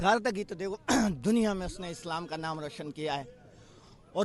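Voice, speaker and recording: A man talks at a high pitch and moderate pace. His intonation is lively. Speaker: political supporter. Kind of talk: street interview. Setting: outdoors at beach rally.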